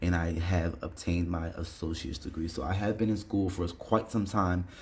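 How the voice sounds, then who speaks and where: The somewhat breathy voice holds a fairly even intonation, with audible room echo around it. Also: man, very deep, low pitch for a man. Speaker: online English instructor. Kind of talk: tutorial. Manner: fast; casual with filler words.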